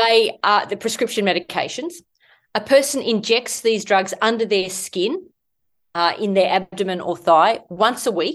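Against a quiet background, a woman with an Australian accent talks at a moderate pace with lively intonation. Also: medium pitch for a woman. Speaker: medical doctor and author. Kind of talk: interview, explanatory health talk.

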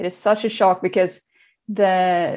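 Swedish accent over a quiet background. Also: woman. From Sweden. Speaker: diabetes coach. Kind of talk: interview. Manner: energetic.

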